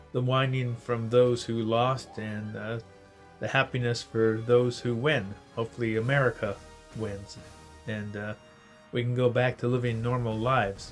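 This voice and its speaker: Over music in the background, a man speaks at a medium pitch and moderate pace in a monotone, flat intonation, with long, frequent pauses. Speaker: RV traveler, vlogger. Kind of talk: casual talk to camera.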